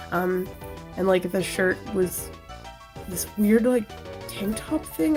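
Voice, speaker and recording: There is music in the background. A woman speaks with a medium pitch. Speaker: artist. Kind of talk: casual voiceover narration for a drawing video.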